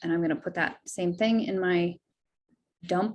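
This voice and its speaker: Somewhat breathy, a woman's voice shows ordinary pitch variation. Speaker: direct sales consultant leading a team training. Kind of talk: software tutorial over screen share.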